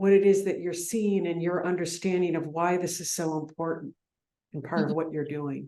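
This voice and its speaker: Using an ordinary speaking voice, a woman talks at a moderate pace and fairly low pitch with fairly even intonation. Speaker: podcast host, coach. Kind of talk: podcast interview question.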